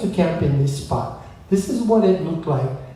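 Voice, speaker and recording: With music in the background and audible room echo, a man speaks at a moderate pace in a Hawaiian accent. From Hawaii, Windward Oahu. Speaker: musician and storyteller. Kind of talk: talk between songs at a concert.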